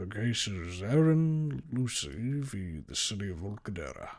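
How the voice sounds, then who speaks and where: Using a put-on character voice with very wide pitch swings, a man speaks at a moderate pace and fairly low pitch in a very clean recording with a silent background. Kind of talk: courtroom speech. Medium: read story. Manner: formal, authoritative.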